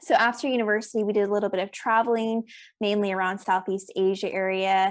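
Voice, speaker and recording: A woman with an American accent talks very fast at a medium pitch, her intonation fairly even, on a very clean recording with a silent background. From South Africa. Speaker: accountant and business coach. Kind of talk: podcast interview.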